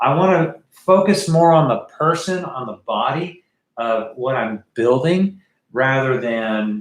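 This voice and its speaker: A man speaks at medium pitch with lively intonation. His is an unremarkable speaking voice. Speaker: art teacher. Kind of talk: livestream drawing tutorial. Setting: live stream. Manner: casual with many fillers.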